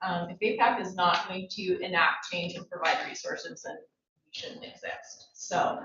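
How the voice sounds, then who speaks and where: Audible room echo follows a woman as she speaks at a moderate speed. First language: Coastal Salish. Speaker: university staff committee chair. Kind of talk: formal report to a board meeting.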